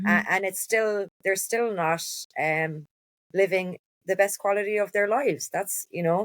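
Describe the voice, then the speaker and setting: A woman with a Cork accent and fairly even intonation. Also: medium pitch for a woman. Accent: Cork Irish. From Cork, Ireland. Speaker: endometriosis advocate. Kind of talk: podcast interview answer.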